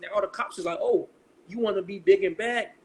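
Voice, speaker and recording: A man speaks with ordinary pitch variation. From Israel, Dimona. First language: Hebrew. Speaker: music manager and showcase host. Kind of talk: podcast interview. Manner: casual, slangy.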